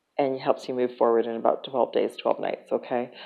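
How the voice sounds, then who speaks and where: A woman speaks with a very deep, low pitch. Music plays in the background. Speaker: spiritual healer and channel host. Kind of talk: spiritual talk to viewers. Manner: hesitant, with many fillers.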